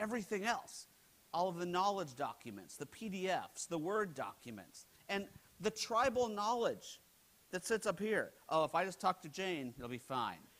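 A man with an American accent speaks in a high pitch at a moderate pace, animated in tone with lively intonation. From United States. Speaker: keynote speaker, HR technology analyst. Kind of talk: conference keynote presentation. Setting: stage with audience. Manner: animated, humorous, interactive. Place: hall.

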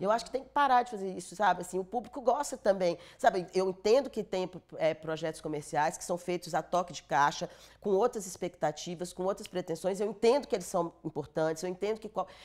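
The speech comes at a fairly quick pace with ordinary pitch variation. Loudness swings a lot, against a quiet background. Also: woman. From Brazil, northern Minas Gerais (Montes Claros); Minas Gerais, Brazil. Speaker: film producer; interviewee. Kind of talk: interview; interview answer. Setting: studio. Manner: halting. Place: studio. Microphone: lapel.

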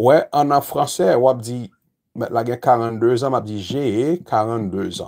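This man keeps a fairly slow pace. Behind him, the background stays quiet. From Haiti. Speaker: English teacher. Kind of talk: lecture. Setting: YouTube livestream. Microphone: phone near.

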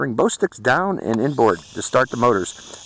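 A man speaks with vocal fry over light background noise. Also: dry sound with no echo. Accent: American. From Pittsburgh, US. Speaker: drone reviewer YouTuber; drone reviewer. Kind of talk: product review and flight test narration. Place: open country. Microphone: phone near.

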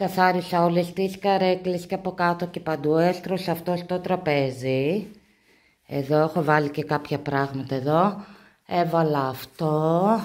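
An ordinary speaking voice moves at a fairly slow pace with fairly even intonation. The background is quiet. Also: woman, fairly low pitch for a woman. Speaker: home vlogger. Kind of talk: casual vlog chat. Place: home room. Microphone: phone near.

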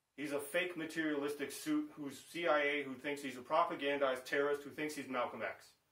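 Amid audible room echo, a man with an American accent speaks fairly quickly in a fairly high, bright, sharp voice with monotone, flat intonation. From Chicago, US Midwest. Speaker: vlogger, bass player; political commentator. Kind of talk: political rant monologue. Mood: indignant, accusatory. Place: home room.

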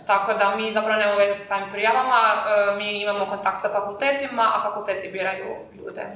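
A woman speaks at a very fast pace in a medium pitch with monotone, flat intonation, and the room echo is audible. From Croatia. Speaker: university student, marketing team lead. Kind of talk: casual chat. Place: classroom.

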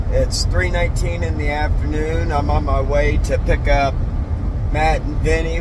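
A man's fairly slow speech, dry with no echo, over loud background noise. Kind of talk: casual vlog chat. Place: car. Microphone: phone near.

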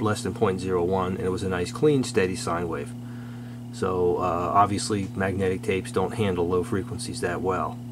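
A fairly low-pitched man at a fairly quick pace, with ordinary pitch variation and noticeable background noise. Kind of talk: casual technical commentary. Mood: amused disapproval. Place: workshop.

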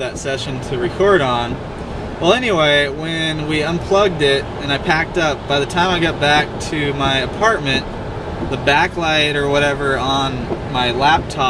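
With noticeable background noise behind him, a man speaks at a moderate pace with ordinary pitch variation. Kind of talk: casual vlog chat. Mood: relaxed storytelling. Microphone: camera far.

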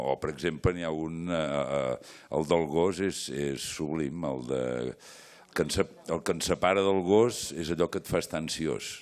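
This man has a very deep, low pitch and ordinary pitch variation. He talks at a fairly slow pace with big swings in loudness. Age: 60s. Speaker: stage actor. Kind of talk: post-show talk with audience; panel discussion answer. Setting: theatre stage with audience. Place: stage. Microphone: handheld.

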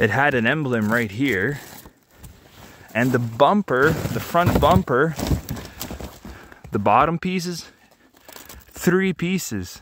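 A man speaks slowly at a medium pitch, with long, frequent pauses. His intonation is lively and his tone fairly bright.

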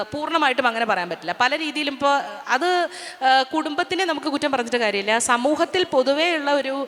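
A woman's high voice, full of lively intonation, rises over noticeable background noise. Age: 50s. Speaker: singer and actress, former radio jockey. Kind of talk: interview on stage. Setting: stage with audience.

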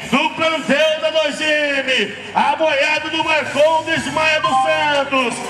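Over light background noise and audible room echo, a man is talking. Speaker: rodeio commentator. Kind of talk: sports commentary. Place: stadium.

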